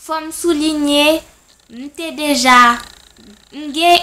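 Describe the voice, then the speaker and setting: This woman speaks at a very slow pace. Her intonation stays fairly even. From Haiti. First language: Haitian Creole and French (speaking French). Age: 20s. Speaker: language tutor. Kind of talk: self-introduction video.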